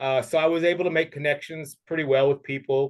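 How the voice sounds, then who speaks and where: A man with a fairly high voice speaks at a moderate pace. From US East Coast and Texas, moved often. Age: 50s. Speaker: English teacher. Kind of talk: interview conversation. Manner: relaxed, many fillers.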